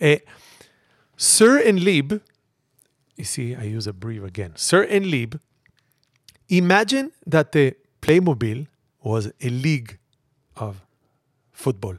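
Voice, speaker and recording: A man speaks at a very slow pace, his pitch swinging very widely. The sound is dry and close, with no echo. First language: not English. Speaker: podcast host. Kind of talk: comedic casual chat.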